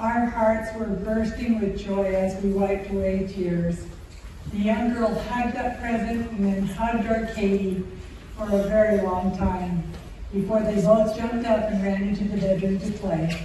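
A woman at a moderate pace in monotone, flat intonation, with strong room echo and light background noise. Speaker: storyteller narrator. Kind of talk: storytelling narration. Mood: warm, gentle, reverent. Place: stage.

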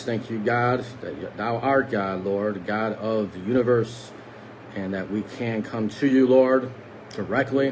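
Over light background noise, a man talks at a fairly slow pace. His pitch moves with ordinary variation. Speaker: lay preacher. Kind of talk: prayer and devotional talk. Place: home room. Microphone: phone near.

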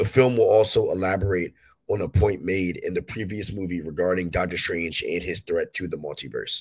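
A slightly husky edge, a moderate pace, and fairly even intonation. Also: man, low pitch for a man.

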